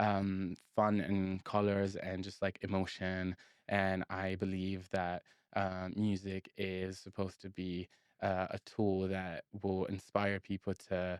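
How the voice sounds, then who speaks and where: A man's very deep, low voice at a very slow pace, monotone and flat, dry and close with no echo, on a very clean recording with a silent background. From northern Italy (Genoa and Milan). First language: Italian. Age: 20s. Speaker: singer-songwriter. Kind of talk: casual interview chat.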